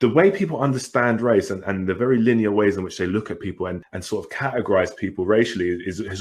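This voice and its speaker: With a British accent, this man speaks at a very fast pace and a medium pitch. Behind him the background is quiet. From England. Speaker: podcast co-host. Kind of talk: casual chat.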